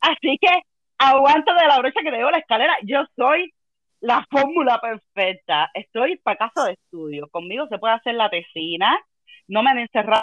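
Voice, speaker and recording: With a Cuban accent, a woman speaks at a high pitch and a moderate pace. Her tone is animated, with very wide pitch swings. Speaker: philologist, travel company employee. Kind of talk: casual interview, storytelling.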